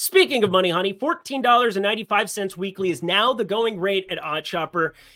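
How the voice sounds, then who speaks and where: A man raises and projects his voice, high-pitched and bright, sharp in tone. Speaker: sports betting YouTuber. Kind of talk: sports betting picks show. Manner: low energy, low key.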